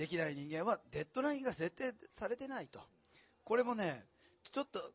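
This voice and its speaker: A man's animated delivery at a fairly quick pace, with very wide pitch swings, big shifts in loudness, and long, frequent pauses. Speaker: event navigator and author. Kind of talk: live talk event hosting. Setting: stage with audience.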